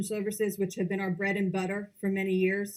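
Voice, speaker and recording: Fairly quick speech from a woman, medium in pitch. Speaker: company presenter at investor conference. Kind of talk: investor presentation. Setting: conference presentation with audience. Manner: fast.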